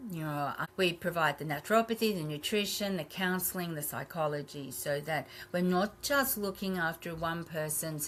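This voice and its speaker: A woman with an Australian accent, a fairly low pitch and a moderate pace. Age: 60s. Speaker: naturopath and health clinic owner. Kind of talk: podcast interview.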